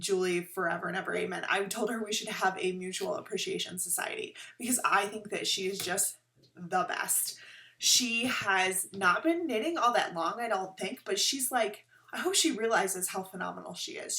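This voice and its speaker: In an unremarkable speaking voice, a woman talks at a moderate pace with medium pitch and lively intonation. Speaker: knitting podcaster. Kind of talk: casual chat.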